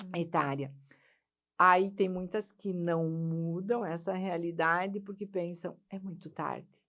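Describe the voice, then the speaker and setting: A woman with a fairly low voice talks very slowly, her intonation fairly even. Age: 60s. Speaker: life coach and speaker. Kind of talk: podcast interview.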